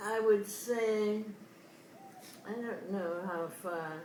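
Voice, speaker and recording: Over noticeable background noise, a woman with a fairly high pitch speaks at a very slow pace with fairly even intonation. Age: 80s+. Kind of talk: interview answer. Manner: hesitant.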